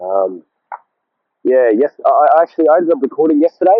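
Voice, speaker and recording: Here a man talks at a fairly quick pace. He has an Australian accent. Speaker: vlogger. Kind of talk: casual monologue vlog. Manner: halting, repetitive.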